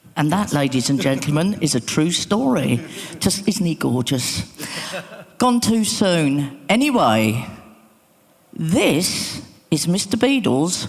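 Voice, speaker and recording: The speaker goes at a very slow pace with long, frequent pauses. Noticeable background noise can be heard. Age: 60s. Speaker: DJ and remixer, session host. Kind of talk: conference talk. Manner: animated.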